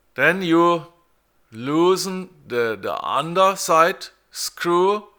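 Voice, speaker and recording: A man speaks very slowly in a high voice with a bright, sharp tone and ordinary pitch variation. The recording is very clean, with a silent background. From Germany. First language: German. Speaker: car repair tutorial maker. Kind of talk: tutorial. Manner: halting, many repeated words.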